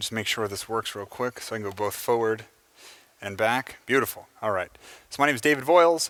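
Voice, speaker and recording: With an American accent and an ordinary speaking voice, a man talks at a fairly quick pace and ordinary pitch variation, in a dry, close sound with no echo. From United States. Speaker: software engineer giving a conference talk. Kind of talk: conference talk. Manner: casual, with many filler words.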